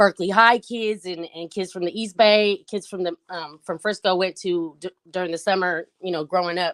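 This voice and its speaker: Speaking at a moderate pace, a woman has an ordinary speaking voice, fairly low in pitch with fairly even intonation. The sound is dry and close, without echo. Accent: American. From US West Coast, San Francisco. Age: 40s. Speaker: rapper. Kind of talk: interview.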